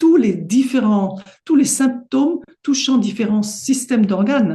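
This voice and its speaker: A woman's high-pitched voice with a dark, mellow tone, ordinary pitch variation, very even loudness and a fairly slow pace. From Paris, France. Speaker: homeopath. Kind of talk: interview.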